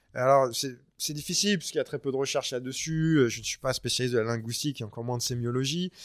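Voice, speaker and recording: On a very clean recording with a silent background, a man has an unremarkable speaking voice, medium pitch and fairly even intonation. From France. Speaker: author and surf historian. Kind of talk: interview.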